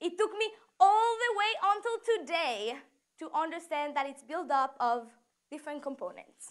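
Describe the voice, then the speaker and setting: A woman's extremely high voice with very wide pitch swings, fairly slow and in a Mexican accent. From Mexico. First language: Spanish. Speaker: student speaker. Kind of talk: prepared talk.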